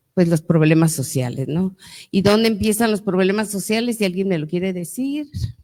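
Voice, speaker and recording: A woman with a dark, mellow tone and medium pitch talks at a moderate pace with lively intonation. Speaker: lawyer and author, panelist. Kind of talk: panel talk to audience. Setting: museum event with audience. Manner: loud.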